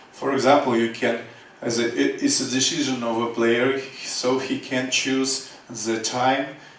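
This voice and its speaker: A man with a Russian accent at medium pitch, fairly slow and monotone with flat intonation, amid noticeable background noise and audible room echo. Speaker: game developer. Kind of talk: conference presentation. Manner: halting, many fillers.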